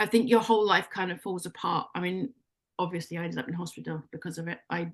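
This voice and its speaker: A woman with an English accent, fairly low in pitch, speaking at a very fast pace with ordinary pitch variation and big swings in loudness. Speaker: life coach. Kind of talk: radio interview. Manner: animated.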